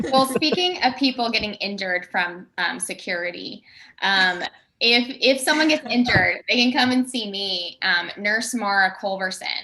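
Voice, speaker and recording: The voice has a bright, sharp tone with a Southern US accent. Its intonation is lively and the pace moderate. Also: woman, fairly high pitch for a woman. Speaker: improv actor. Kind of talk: casual chat. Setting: video call.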